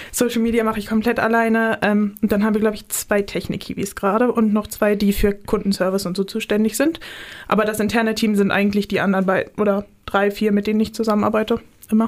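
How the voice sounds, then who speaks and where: A woman talks at a very fast pace. Her intonation stays flat and monotone. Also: fairly high pitch for a woman. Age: 20s. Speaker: media student and planetarium staff. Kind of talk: casual chat.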